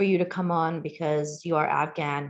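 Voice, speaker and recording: A woman with an American accent speaks at a fairly low pitch with monotone, flat intonation. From Queens, New York City. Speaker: community outreach director. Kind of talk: interview.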